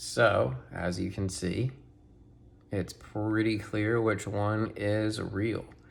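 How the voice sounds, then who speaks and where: The pace is very slow and the intonation fairly even. Room echo is audible. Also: man, fairly low pitch for a man. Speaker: toy collector and YouTuber. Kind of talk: unboxing tutorial. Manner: casual, filler-heavy; quieter to not disturb daughter.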